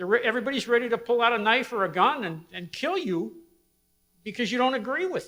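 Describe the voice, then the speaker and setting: A raised, projected voice with a bright, sharp tone comes at a very fast pace. Its intonation is lively, with big swings in loudness. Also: man, extremely high pitch for a man. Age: 70s. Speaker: audience member asking a question. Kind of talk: Q&A comment from audience.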